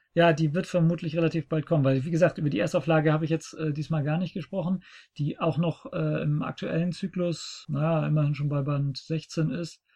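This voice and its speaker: A man speaks at a fairly quick pace with a fairly high pitch and fairly even intonation. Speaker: podcast host. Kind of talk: casual chat. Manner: talkative.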